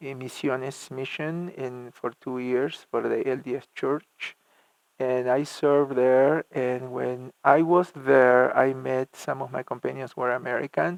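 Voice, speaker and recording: Fairly slow speech in a Spanish accent, fairly even in intonation, with a dry, close sound and no echo. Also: man, medium pitch for a man. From Argentina (La Plata). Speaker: church music minister. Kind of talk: interview. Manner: halting, many repetitions and fillers.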